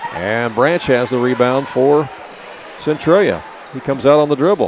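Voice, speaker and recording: A man's voice with ordinary pitch variation, a dry sound with no echo, and noticeable background noise. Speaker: basketball play-by-play announcer. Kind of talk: live sports commentary, play-by-play call. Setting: courtside broadcast at a basketball game. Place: hall. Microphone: headset.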